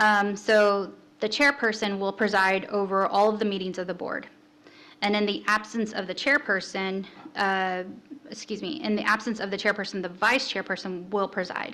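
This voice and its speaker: A woman with a bright, sharp tone talks at a medium pitch with fairly even intonation. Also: moderate pace. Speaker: city staff presenter. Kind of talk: orientation presentation.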